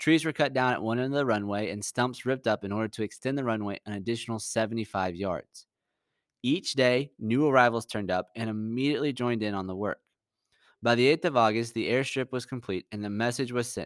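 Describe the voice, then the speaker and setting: A man speaks at a fairly quick pace with a medium pitch and ordinary pitch variation, on a very clean recording with a silent background and a dry, close sound with no echo. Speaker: history podcast host. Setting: podcast. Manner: dramatic, measured, suspenseful; earnest, polished, storyteller cadence.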